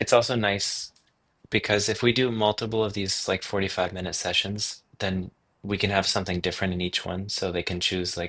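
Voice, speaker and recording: In an American accent, a man with a fairly low pitch and a bright, sharp tone speaks at a moderate pace in a monotone, flat intonation against a quiet background. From US Midwest. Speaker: livestream co-host. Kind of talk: casual planning chat.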